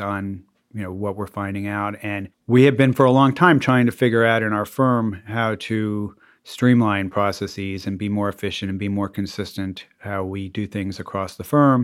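The recording is very clean, with a silent background. A man with a fairly low pitch speaks at a moderate pace in a normal speaking voice. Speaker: immigration lawyer. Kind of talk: interview conversation.

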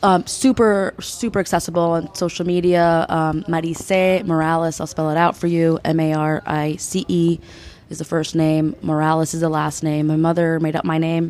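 A woman with an ordinary speaking voice and a fairly low pitch talks at a moderate pace. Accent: American. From United States, Peruvian American family. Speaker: state delegate. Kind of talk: interview. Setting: conference with audience murmuring nearby.

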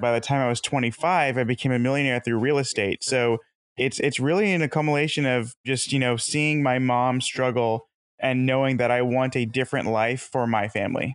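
With an ordinary speaking voice, a man talks at a fairly quick pace and medium pitch, his intonation fairly even and his loudness very even. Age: 20s. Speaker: real estate investor and insurance salesman. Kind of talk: interview.

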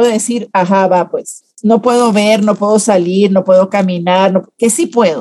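A woman's voice with a dark, mellow tone shows ordinary pitch variation. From Venezuela. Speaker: public relations consultant. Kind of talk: interview.

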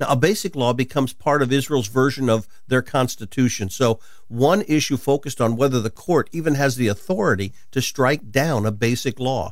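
Delivered at a fairly quick pace, a plain, everyday voice carries lively intonation and very even loudness. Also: man, medium pitch for a man. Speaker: radio host and Bible teacher.

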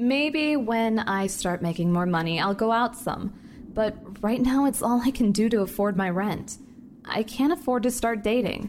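At a moderate pace, a woman with a normal speaking voice talks at a fairly high pitch, with ordinary pitch variation and very even loudness. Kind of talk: dramatic first-person audio drama narration.

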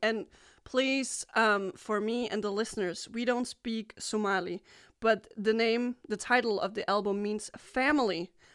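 A woman speaks with a Danish accent at a fairly slow pace. Her pitch is fairly high, her intonation fairly even, and the background quiet. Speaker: music radio host. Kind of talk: interview. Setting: video chat. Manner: halting.

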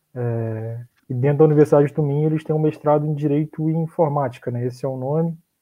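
Fairly high in pitch, a man's voice moves at a very fast pace with fairly even intonation. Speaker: law graduate who studied abroad. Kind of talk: casual chat.

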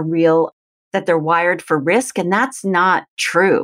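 Fairly low in pitch, a woman talks at a moderate pace in a plain, everyday voice. The recording is very clean, with a silent background. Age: 50s. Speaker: author and teacher. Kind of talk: interview.

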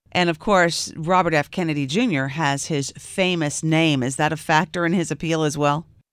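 A woman with an American accent talks at a very deep, low pitch and a moderate pace, barely pausing. Her pitch varies in an ordinary way, and the recording is very clean with a silent background. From US South. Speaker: radio host. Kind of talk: interview. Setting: studio.

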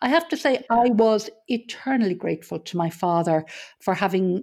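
Speaking at a fairly slow pace, a woman with an Irish accent has a medium pitch, a dark, mellow tone and lively intonation. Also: very clean recording, silent background. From Ireland. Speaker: business consultant and hospice charity chair. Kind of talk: casual interview.

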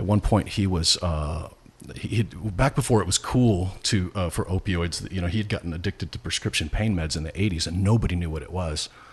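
Somewhat breathy, a man with an American accent talks at a fairly quick pace, his very deep, low pitch showing ordinary variation. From US Midwest, rural Nebraska. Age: 50s. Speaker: pastor. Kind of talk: casual interview.

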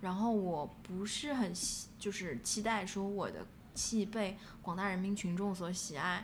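Somewhat breathy and medium in pitch, a woman speaks very slowly amid audible room echo. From Shanghai, China. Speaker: playwright. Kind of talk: interview conversation. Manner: halting, many fillers.

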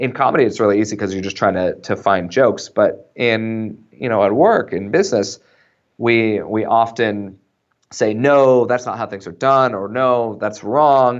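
An unremarkable speaking voice with an American accent moves at a moderate pace with ordinary pitch variation. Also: man, medium pitch for a man. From US West, small-town Idaho. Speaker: author and content marketing entrepreneur. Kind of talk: interview.

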